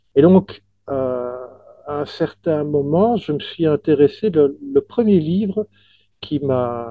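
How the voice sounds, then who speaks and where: The speaker talks very slowly but with lively intonation. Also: man, fairly high pitch for a man. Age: 60s. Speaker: author. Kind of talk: interview. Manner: halting, with many repetitions.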